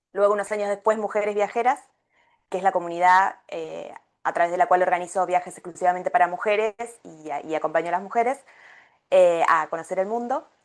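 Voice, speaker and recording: A woman with an Argentine accent talks at a fairly quick pace and medium pitch. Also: ordinary pitch variation. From Argentina. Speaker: travel coach and travel agency founder. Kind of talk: podcast interview. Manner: many hesitations (eh, em).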